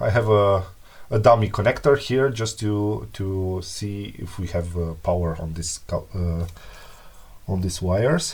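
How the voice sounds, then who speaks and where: Somewhat breathy, a man with a non-native accent speaks fairly slowly in a fairly low voice with ordinary pitch variation. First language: not English. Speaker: repair hobbyist youtuber. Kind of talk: tutorial. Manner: halting, many fillers.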